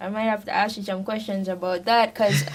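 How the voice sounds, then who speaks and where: A woman speaks in a somewhat breathy voice. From Jamaica. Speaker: podcast host, Harvard student. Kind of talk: casual interview conversation.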